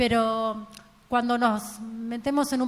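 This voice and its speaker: A fairly high, somewhat breathy woman's voice in a flat monotone. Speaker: transport engineer and professor. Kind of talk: conference talk.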